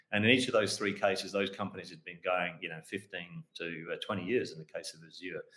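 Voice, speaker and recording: A man's bright, sharp tone with an Australian accent, ordinary pitch variation and big swings in loudness. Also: fairly low pitch for a man, fairly quick pace, hardly any pauses. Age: 60s. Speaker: mining company founder and managing director. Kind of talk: interview. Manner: hesitant with many fillers.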